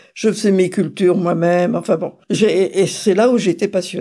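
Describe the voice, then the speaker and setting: At a fairly slow pace, a woman speaks with a medium pitch, ordinary pitch variation and a dark, mellow tone. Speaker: grandmother recounting her life. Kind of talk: life story interview. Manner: conversational with hesitations.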